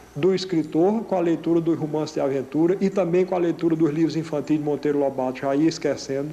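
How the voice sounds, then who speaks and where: Noticeable background noise sits behind a man with a northeastern Brazilian accent. His pitch is fairly high and his intonation fairly even. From Paraíba, northeastern Brazil. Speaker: playwright and novelist. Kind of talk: interview answer.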